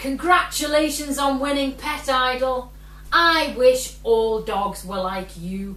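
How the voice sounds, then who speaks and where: A gruff, put-on character voice from a woman, high in pitch, at a fairly slow pace, with light background noise. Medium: read story.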